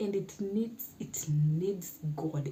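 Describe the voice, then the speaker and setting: A woman's medium-pitched voice, very slow and lively in intonation, with audible room echo and noticeable background noise. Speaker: YouTuber. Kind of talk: casual talk to camera.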